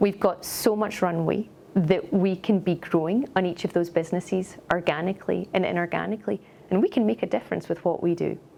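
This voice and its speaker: A woman with a Scottish accent speaks at a fairly quick pace with ordinary pitch variation. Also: medium pitch for a woman. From Scotland. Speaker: company executive. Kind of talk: corporate interview.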